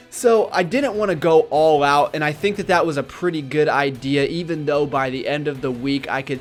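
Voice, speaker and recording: Over music in the background, a man with a fairly high pitch and ordinary pitch variation talks with hardly any pauses. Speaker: fitness vlogger. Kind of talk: vlog narration. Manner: fast; casual.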